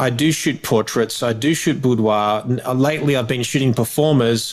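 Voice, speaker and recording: A man with an Australian accent, medium pitch, fairly even intonation, very even loudness, and a moderate pace. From Australia, Melbourne. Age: 40s. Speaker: wedding photographer. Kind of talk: interview. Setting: podcast recording. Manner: halting, with repeated words.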